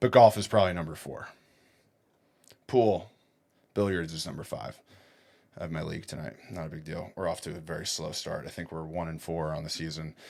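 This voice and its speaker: In a very clean recording with a silent background, a man speaks at a fairly quick pace. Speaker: podcast host. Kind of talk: casual monologue. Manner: fast; animated.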